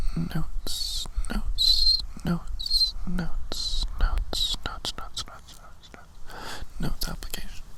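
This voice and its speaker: A man's voice over noticeable background noise. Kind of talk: ASMR whisper ramble to camera. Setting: outdoors, recorded lo-fi. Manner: whispered, soft-spoken, repetitive trigger words.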